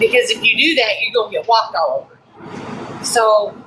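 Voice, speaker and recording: Fairly slow speech from a woman, with noticeable noise in the background. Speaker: guest on podcast. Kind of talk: casual chat. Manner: loud; blunt.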